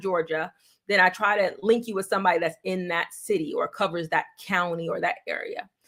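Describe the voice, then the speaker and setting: With a New York accent, a woman speaks at a fairly quick pace in a medium pitch and a bright, sharp tone on a very clean recording with a silent background. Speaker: real estate agent. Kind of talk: livestream Q&A. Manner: fast.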